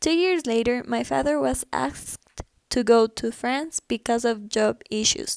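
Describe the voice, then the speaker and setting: A woman's fairly high voice in a Spanish accent, fairly slow with lively intonation, in a dry, close sound with no echo. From Ecuador. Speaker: student. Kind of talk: personal narrative.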